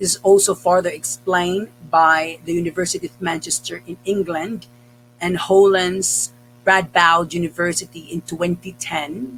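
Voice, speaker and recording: Music plays in the background as a man with a Cebuano accent speaks at a moderate pace. His pitch is high, with ordinary pitch variation. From Philippines. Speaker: English teacher. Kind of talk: tutorial.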